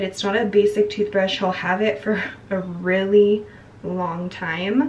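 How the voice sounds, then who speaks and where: The speech moves at a fairly slow pace. Light background noise sits underneath. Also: woman. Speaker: parent vlogger. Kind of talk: casual vlog chat. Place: bathroom. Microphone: phone near.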